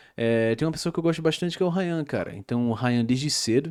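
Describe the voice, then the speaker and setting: Lively intonation from a man on a very clean recording with a silent background. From Brazil, interior of Pernambuco. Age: 20s. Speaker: YouTuber and commentator. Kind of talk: casual vlog rant. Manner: hesitant, many filler words.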